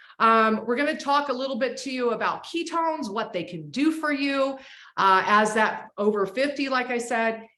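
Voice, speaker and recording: With an American accent, a woman talks at a moderate pace in a high voice, her intonation lively and her tone animated. Audible room echo surrounds her. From Florida, Clearwater. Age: 60s. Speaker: host. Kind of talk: video call hosting.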